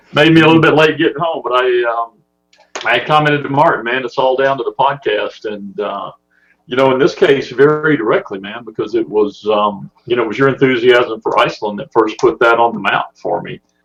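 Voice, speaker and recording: Talking at a fairly quick pace in a Southern US accent, the man has a medium pitch and ordinary pitch variation. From US South (Mississippi and Alabama). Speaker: podcast listener, amateur photographer. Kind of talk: casual chat.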